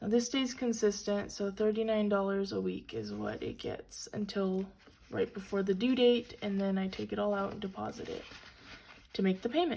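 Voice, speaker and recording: A somewhat breathy woman's voice with a dark, mellow tone and ordinary pitch variation. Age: 20s. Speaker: college student. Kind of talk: casual budgeting talk to camera. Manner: upbeat.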